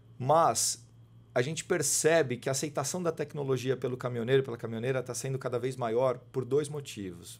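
Somewhat breathy, a man speaks at a fairly quick pace in a medium pitch. His pitch variation is ordinary. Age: 40s. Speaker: sales and marketing manager at a tech company; sales. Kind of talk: casual interview. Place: studio. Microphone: studio mic.

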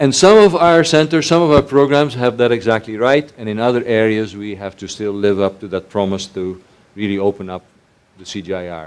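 With a Dutch accent, a man of fairly low pitch speaks at a moderate pace, his intonation lively and his loudness swinging widely. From Netherlands. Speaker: research organization chief executive. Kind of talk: panel conversation.

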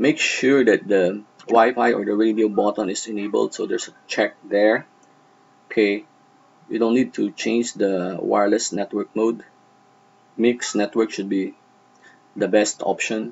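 With long, frequent pauses, a man talks at a fairly slow pace in a fairly low pitch and fairly even intonation. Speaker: network tutorial narrator. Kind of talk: tutorial. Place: home room.

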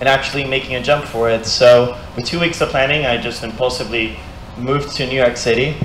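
The speech moves at a fairly quick pace with fairly even intonation, with audible room echo and light background noise. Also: man. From Brazil. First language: Portuguese. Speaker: mixed reality content creator. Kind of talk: presentation talk. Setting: stage with audience. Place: meeting room. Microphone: handheld.

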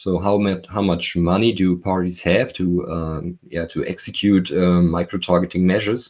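A man with a German accent, very deep and low in pitch, at a moderate pace. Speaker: professor. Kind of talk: interview. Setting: video call from home. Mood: calm, explanatory. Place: home room. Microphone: video call.

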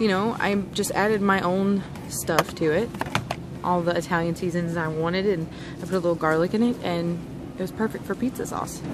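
Crowd noise fills the background as a woman speaks at a moderate pace. Her pitch varies in an ordinary way, and the sound is dry with no echo. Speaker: shopping vlogger. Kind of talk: casual vlog chat. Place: shop. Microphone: phone near.

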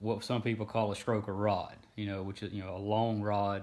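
This man has an ordinary speaking voice, fairly low in pitch, and he talks at a fairly quick pace. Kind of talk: live stream explainer. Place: home room. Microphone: phone near.

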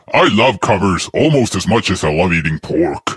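A fairly low-pitched put-on character voice from a man, at a moderate speed

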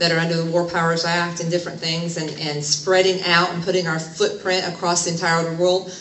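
Speaking at a fairly quick pace, a woman with a fairly bright tone and fairly low pitch is heard with audible room echo.

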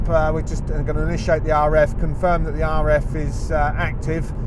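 A man's voice, dry with no echo, over noticeable background noise. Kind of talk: commentary. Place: car.

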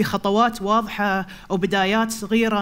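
A woman's fairly high-pitched voice, fairly slow in pace, with fairly even intonation. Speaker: poet. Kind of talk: slam poetry performance. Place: stage.

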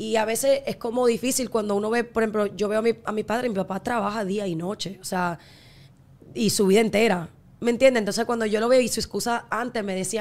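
With a fairly high pitch and fairly even intonation, a woman speaks at a very fast pace. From Miami. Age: 20s. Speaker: singer and content creator; content creator. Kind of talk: casual chat. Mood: reflective, earnest. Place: studio. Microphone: studio mic.

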